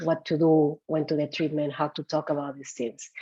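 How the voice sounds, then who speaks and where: In a slight Peruvian accent, a voice with a dark, mellow tone speaks at a moderate pace. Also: woman. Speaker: psychologist and executive coach. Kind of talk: webinar talk.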